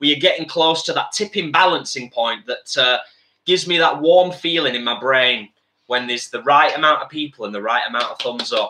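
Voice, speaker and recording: Bright and sharp in tone, a man's voice runs at a fairly quick pace with a fairly high pitch. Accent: English. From UK. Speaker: vegan cooking channel host. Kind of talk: live-stream cooking chat. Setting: home kitchen. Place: kitchen. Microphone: webcam.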